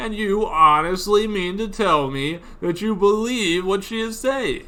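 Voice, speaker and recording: A man's put-on character voice, high-pitched and fairly slow, with ordinary pitch variation over light background noise. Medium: virtual streamer. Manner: formal, sputtering.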